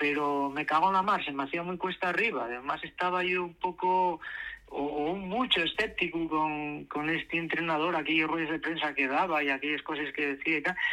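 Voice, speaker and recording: This man's fairly high voice has a bright, sharp tone, fairly even intonation and a moderate pace. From Asturias, Spain. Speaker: playwright and actor. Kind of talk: radio interview.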